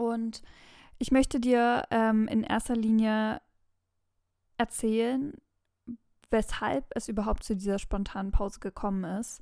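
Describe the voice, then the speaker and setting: A woman speaks at a very slow pace with long, frequent pauses and a dark, mellow tone. The recording is very clean, with a silent background. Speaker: nutrition expert and podcast host. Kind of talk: casual monologue. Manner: hesitant, many filler words.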